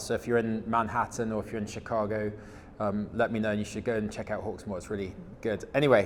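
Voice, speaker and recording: A man talks at a fairly low pitch and a fairly quick pace. His intonation is monotone and flat. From England. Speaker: supply chain executive in regenerative agriculture. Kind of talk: conference presentation. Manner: hesitant, many fillers and repetitions.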